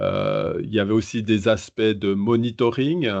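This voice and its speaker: With a Swiss accent, a man of medium pitch talks at a very slow pace with fairly even intonation. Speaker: innovation advisor. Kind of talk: podcast interview. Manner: hesitant, many fillers.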